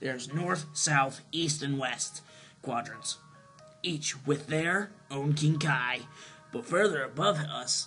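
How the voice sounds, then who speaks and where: With clear music in the background, a man does a raspy, put-on character voice at a fairly high pitch and a fairly slow pace. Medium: solo performance. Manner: lecturing, exasperated.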